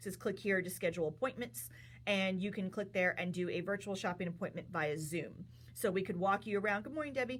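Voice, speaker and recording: Vocal fry runs through a woman's lively intonation at a fairly quick pace. The recording is very clean, with a silent background. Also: medium pitch for a woman. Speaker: yarn shop owner and livestream host. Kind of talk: live stream product talk. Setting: livestream from yarn shop. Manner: fast.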